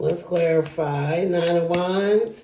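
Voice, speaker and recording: Noticeable background noise sits beneath very slow speech. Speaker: tarot reader. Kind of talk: tarot reading monologue. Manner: animated.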